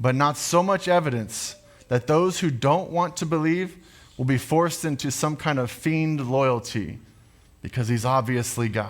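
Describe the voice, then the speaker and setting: Speaking at a moderate pace with ordinary pitch variation, this man has a fairly high pitch and an unremarkable speaking voice. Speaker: pastor. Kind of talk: sermon / preaching to a congregation.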